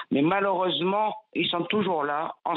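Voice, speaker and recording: Fairly low in pitch, a woman speaks in a normal speaking voice at a moderate pace with ordinary pitch variation. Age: 60s. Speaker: listener caller. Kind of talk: call-in testimony. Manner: emotional, insistent.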